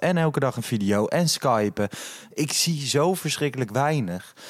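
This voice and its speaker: Using a plain, everyday voice, a man of medium pitch speaks at a moderate pace with lively intonation and very even loudness. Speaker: podcast host. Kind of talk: casual chat. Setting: hotel lobby at night.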